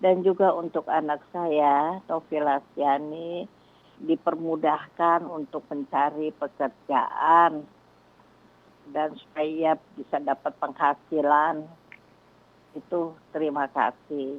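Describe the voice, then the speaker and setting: The speech comes at a very slow pace with monotone, flat intonation and a dry, close sound with no echo. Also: woman, very deep, low pitch for a woman. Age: 70s. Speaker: caller asking for prayer. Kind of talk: phone-in prayer request. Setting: phone call.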